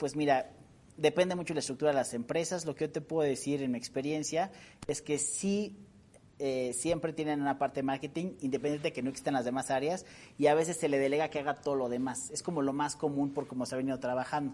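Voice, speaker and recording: Talking at a very fast pace, a man has a fairly high pitch, a dark, mellow tone and fairly even intonation. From Mexico, San Luis Potosí. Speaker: public relations expert. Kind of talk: interview.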